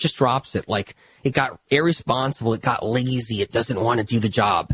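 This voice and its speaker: A man with a medium-pitched, somewhat breathy voice speaks in an animated tone with ordinary pitch variation, the sound dry and close with no echo on a very clean recording with a silent background. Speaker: health author and podcast host. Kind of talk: podcast monologue. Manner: fast.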